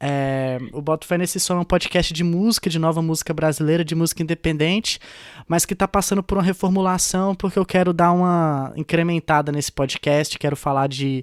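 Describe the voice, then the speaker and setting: A man talks at a fairly quick pace, his pitch high for a man. The sound is dry and close with no echo, and the recording is very clean with a silent background. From Brazil, Tocantins (Gurupi). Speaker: podcast co-host, journalist and radio presenter. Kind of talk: casual chat.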